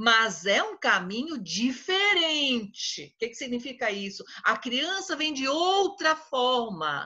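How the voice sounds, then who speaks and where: A woman with a high pitch speaks at a very slow pace in a raised, projected voice. Her tone is bright and sharp, with very wide pitch swings. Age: old. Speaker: psychologist speaking on adoption. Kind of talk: talk to a support group.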